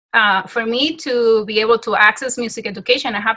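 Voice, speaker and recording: A woman's bright, sharp tone at a fairly high pitch and moderate pace. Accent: Dominican. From Dominican Republic. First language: Spanish. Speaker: music teacher. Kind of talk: interview.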